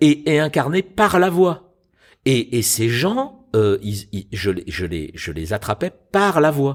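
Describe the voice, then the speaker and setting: A man at fairly high pitch talks at a very slow pace, his pitch swinging very widely. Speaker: stage actor and voice actor. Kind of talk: interview answer about voice acting.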